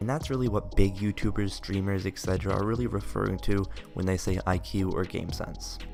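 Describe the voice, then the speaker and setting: A man's voice comes in fairly low. Behind it, music plays. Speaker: gaming YouTuber. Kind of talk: game tutorial voiceover.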